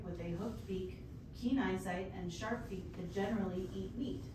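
A woman talks at a moderate pace while audible room echo and noticeable background noise fill the recording. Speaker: member of the public giving comment. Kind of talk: prepared public comment. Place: meeting room. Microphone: camera far.

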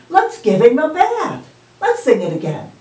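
Audible room echo and light background noise surround a woman's voice. She talks at a moderate pace. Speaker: children's storytime host. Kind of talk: children's storytime with songs and puppet dialogue. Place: home room. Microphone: camera far.

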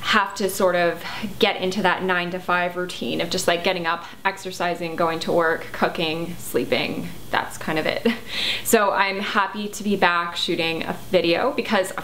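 A woman with an unremarkable speaking voice talks at a moderate pace in a fairly low pitch with fairly even intonation. Light background noise can be heard. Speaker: health vlogger. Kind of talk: casual vlog chat. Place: home room.

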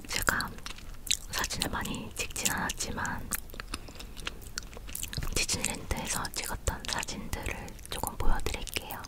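Long, frequent pauses interrupt the talking. Overall it moves at a fairly slow pace. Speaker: ASMR creator. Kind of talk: casual ASMR chat while eating, showing souvenirs. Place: home room.

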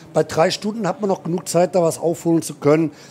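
A man speaks in a high pitch with a dark, mellow tone and ordinary pitch variation. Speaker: motorsport commentator. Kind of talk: live commentary. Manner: animated.

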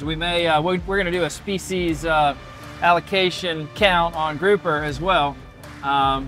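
With faint music behind him, a man speaks at a moderate pace with fairly even intonation in a dry sound with no echo. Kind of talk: casual show intro explanation. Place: boat. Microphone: lapel.

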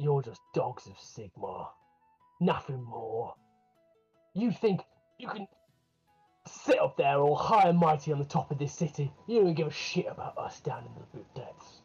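Faint music plays in the background as a man in a put-on character voice speaks with a fairly high pitch and long, frequent pauses. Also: moderate pace. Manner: defiant, resentful.

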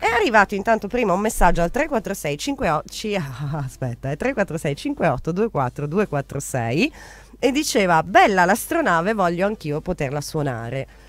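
Talking at a fairly quick pace, a woman with a fairly low pitch makes big pitch swings.

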